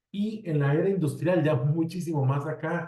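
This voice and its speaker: A man speaks in a dark, mellow tone. His voice is somewhat breathy, with ordinary pitch variation. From Costa Rica. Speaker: civil engineer, road safety specialist. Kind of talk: webinar presentation. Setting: online webinar. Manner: conversational, with fillers.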